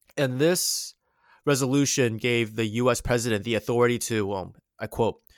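This man has a plain, everyday voice at a medium pitch, talking at a moderate pace with ordinary pitch variation. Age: 20s. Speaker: history commentator. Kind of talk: casual history discussion.

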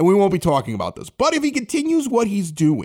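With very wide pitch swings, a man talks at a fairly quick pace on a very clean recording against a silent background. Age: 40s. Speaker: podcast host. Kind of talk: casual chat. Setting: home basement.

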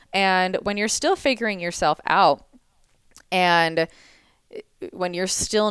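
A woman's medium-pitched, ordinary speaking voice at a moderate pace, with ordinary pitch variation. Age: 20s. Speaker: entrepreneur and business coach. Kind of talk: casual chat.

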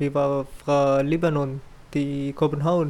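A man speaks with an Arabic accent at a very slow pace. His fairly high pitch stays monotone and flat. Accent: Arabic-accented Danish. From Syria. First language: Arabic (speaking Danish). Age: 20s. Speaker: refugee, pastry chef student. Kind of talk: interview.

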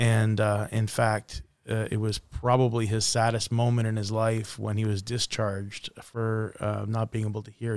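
A man talks at a moderate pace with a fairly low pitch and flat, monotone intonation. The recording is very clean, with a silent background. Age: 50s. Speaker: podcast host, business professional. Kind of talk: casual chat.

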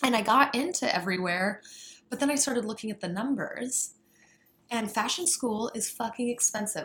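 A woman's fairly high-pitched, plain, everyday voice with lively intonation at a moderate pace. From rural Colorado, US. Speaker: fashion designer and workshop leader. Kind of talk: interview.

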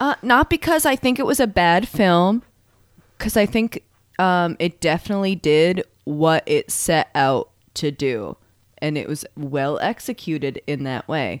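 A woman speaks fairly slowly at a fairly low pitch, her voice swinging very widely in pitch. The recording is very clean, with a silent background. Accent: slight New England. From Maine. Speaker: podcast co-host. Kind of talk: casual chat.

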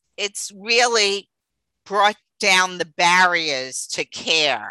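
Here a woman speaks with a New York accent in a bright, sharp tone. The sound is dry and close, with no echo. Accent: New York accent, noticeable. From New York City (Queens). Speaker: dietitian, business owner. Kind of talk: interview, casual chat.

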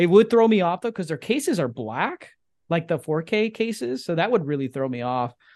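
Against a quiet background, a high-pitched man talks at a fairly quick pace with very wide pitch swings. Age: 20s. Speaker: podcast host and film fan. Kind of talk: casual chat. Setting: remote video call.

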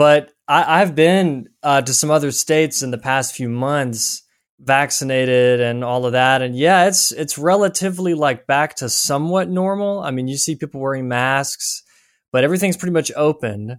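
Here a man with an American accent uses a plain, everyday voice at a fairly high pitch, a moderate pace, and ordinary pitch variation. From US South. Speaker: writer and researcher. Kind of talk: interview.

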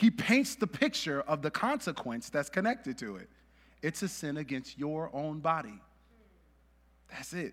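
In a very clean recording with a silent background, a man with an American accent and a fairly high pitch makes very wide pitch swings and big swings in loudness, leaving long, frequent pauses. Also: moderate pace. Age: 30s. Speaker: pastor. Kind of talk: sermon. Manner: casual, many fillers and laughs.

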